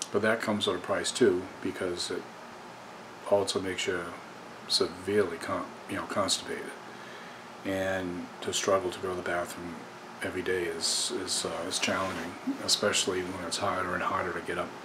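Over noticeable background noise, a man with a very deep, low voice talks fairly quickly in a flat monotone. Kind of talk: personal documentary talk to camera. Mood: earnest, somber. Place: home room. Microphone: webcam.

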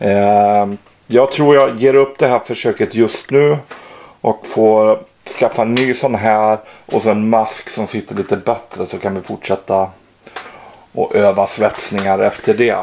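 A man speaks at a fairly slow pace with fairly even intonation. There is light background noise. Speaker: hobby vlogger. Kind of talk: casual vlog chat. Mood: amused, self-mocking. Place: garage. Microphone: phone near.

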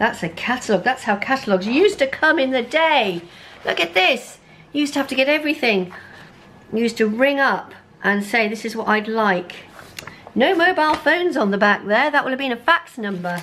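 A woman talks at a fairly quick pace in a high pitch. Her pitch swings very widely. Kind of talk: casual vlog chat. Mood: nostalgic, amused. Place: home room.

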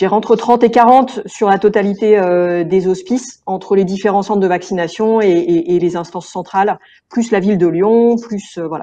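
With a dark, mellow tone, a woman speaks at a moderate pace with hardly any pauses and ordinary pitch variation. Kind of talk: interview answer. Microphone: earbuds.

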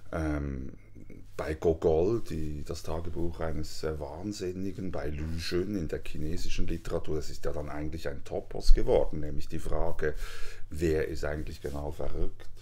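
Very deep and low, a man's somewhat breathy voice has a dark, mellow tone, fairly even intonation and a moderate pace. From Switzerland. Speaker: author; guest, visiting professor. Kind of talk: interview. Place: home room.

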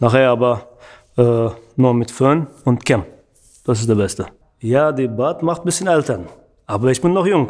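Moderate pacing and ordinary pitch variation against a quiet background. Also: man. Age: 30s. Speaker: barber; interviewee. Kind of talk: interview monologue. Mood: relaxed, friendly. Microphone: studio mic.

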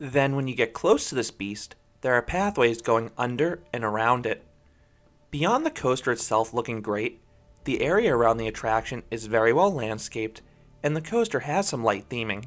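A man at a moderate pace with ordinary pitch variation, music playing in the background. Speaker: coaster reviewer. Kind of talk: review narration.

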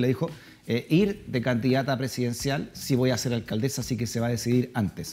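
With a Chilean accent, a man speaks in a medium-pitched, somewhat breathy voice with a dark, mellow tone. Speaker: talk show host. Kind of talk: interview. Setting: studio. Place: studio. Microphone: lapel.

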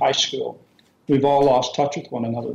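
A man with an unremarkable speaking voice, fairly high pitch and fairly even intonation. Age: 60s. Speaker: scouting organisation executive. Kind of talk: interview. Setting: remote call to radio show.

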